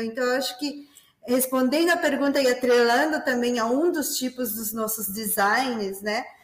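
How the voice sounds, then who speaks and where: A high-pitched woman with a Peruvian accent, at a fairly slow pace, with ordinary pitch variation. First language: Spanish (speaking Portuguese). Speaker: business development manager. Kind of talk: webinar moderation. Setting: online webinar.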